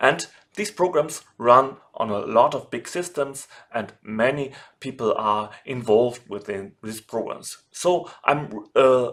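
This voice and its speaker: A man with a German accent speaks at a medium pitch. His intonation is lively and his pace fairly slow. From Germany. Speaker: software developer and online course instructor. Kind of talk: tutorial. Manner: formal.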